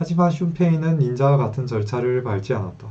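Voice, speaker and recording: Somewhat breathy and dark, mellow in tone, a man talks at a moderate pace with medium pitch and ordinary pitch variation. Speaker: web novel reader and commentator. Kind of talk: reading aloud with commentary; casual aside. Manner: stumbling pronunciation.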